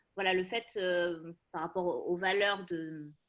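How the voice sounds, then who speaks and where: At a very slow pace, a woman is talking. Her pitch is medium. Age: 40s. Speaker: psychologist. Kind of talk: casual presentation. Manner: hesitant, many fillers.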